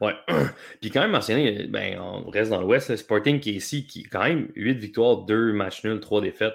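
A man with vocal fry speaks at a moderate pace in a fairly low pitch with ordinary pitch variation, on a very clean recording with a silent background. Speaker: soccer columnist. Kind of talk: casual chat.

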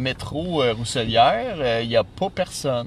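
This man speaks very slowly, his medium-pitched voice carrying lively intonation. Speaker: podcast host. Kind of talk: casual chat. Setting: outdoors. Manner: animated.

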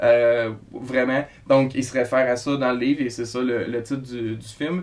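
Here a man talks at a fairly slow pace. His pitch is medium. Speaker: podcast co-host. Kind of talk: casual chat.

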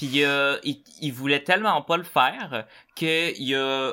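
In a very clean recording with a silent background, a man speaks with a Quebec accent. His pitch is fairly high and his tone bright and sharp. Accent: Québécois French. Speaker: podcast host. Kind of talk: casual chat.

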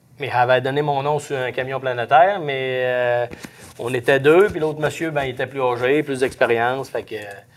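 A man in a Saguenay–Lac-Saint-Jean accent at a medium pitch, with fairly even intonation, a moderate pace and noticeable background noise. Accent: Saguenay–Lac-Saint-Jean Québécois French. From Quebec, Lac-Saint-Jean. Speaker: forestry truck driver. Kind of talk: interview. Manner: halting.

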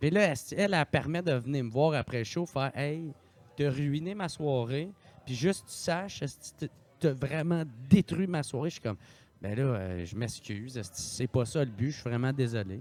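Speech in a Quebec accent moves at a moderate pace, with lively intonation and big swings in loudness. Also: man, fairly high pitch for a man. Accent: Québécois French. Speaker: podcaster and comedian. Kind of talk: casual chat.

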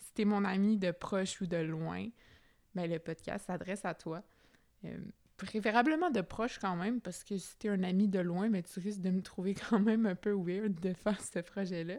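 On a very clean recording with a silent background, a woman speaks at medium pitch and a moderate pace with fairly even intonation. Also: big swings in loudness. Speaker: podcast host. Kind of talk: casual monologue. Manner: spontaneous, hesitant.

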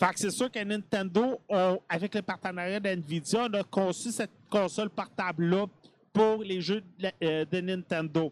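High-pitched male voice in a Quebec accent, dry and close with no echo, very clean recording, silent background. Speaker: gaming podcast host. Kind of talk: casual chat. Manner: hesitant, many filler sounds.

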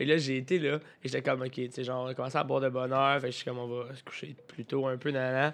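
A man talks at a very fast pace with hardly any pauses. His pitch sits in the medium range. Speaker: podcast co-host. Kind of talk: casual chat. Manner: animated.

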